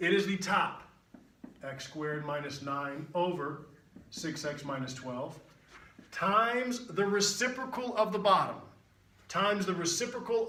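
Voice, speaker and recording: A high-pitched man speaks in an animated tone with ordinary pitch variation. Noticeable background noise and audible room echo surround his voice. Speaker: math teacher. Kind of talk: tutorial. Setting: video recording with on-camera guest. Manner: fast.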